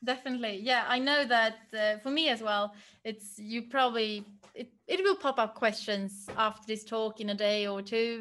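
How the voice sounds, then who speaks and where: A woman's fairly high voice with a Swedish accent, fairly even intonation, and a moderate pace. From Sweden, Stockholm. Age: 30s. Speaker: project manager. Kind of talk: career talk. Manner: hesitant, many fillers.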